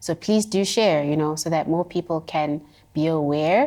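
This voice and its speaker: In a South African accent, a woman with a very deep, low pitch speaks at a moderate pace on a very clean recording with a silent background. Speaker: visual artist. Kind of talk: interview conversation.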